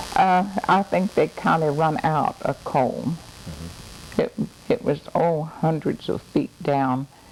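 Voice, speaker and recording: In a Southern US accent, a woman talks at a very slow pace. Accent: Southern US (Oklahoma). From Oklahoma. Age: 80s+. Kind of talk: interview answer. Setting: home recording.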